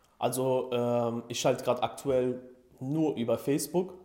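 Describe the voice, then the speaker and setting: This man has a dark, mellow tone at a medium pitch, with ordinary pitch variation. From Germany, near Frankfurt (Hesse). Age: 20s. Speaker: e-commerce entrepreneur, coaching client. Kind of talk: interview testimonial. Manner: hesitant, many fillers.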